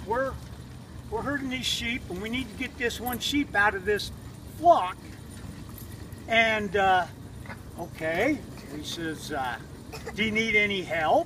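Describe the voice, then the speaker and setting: A man's high-pitched voice is raised and projected with lively intonation. He talks at a very slow pace. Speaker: storyteller. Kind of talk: campfire story. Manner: casual, folksy.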